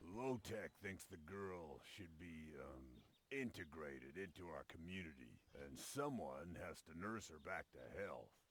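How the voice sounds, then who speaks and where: Putting on a character voice, a man talks at a moderate pace with a very deep, low pitch. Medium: video game.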